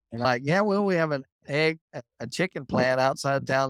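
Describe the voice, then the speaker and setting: In a Texas accent, a man talks at a fairly high pitch with ordinary pitch variation. The sound is dry and close, with no echo. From Texas, Muleshoe. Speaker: agriculture teacher. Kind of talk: casual chat.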